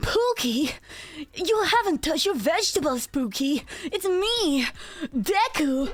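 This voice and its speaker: A woman's put-on character voice, extremely high in pitch with very wide swings, at a fairly slow pace over light background noise. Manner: exaggerated, excited, shouting.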